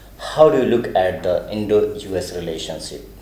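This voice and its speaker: A man's voice with audible room echo. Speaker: journalist interviewer. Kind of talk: interview. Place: meeting room. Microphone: handheld.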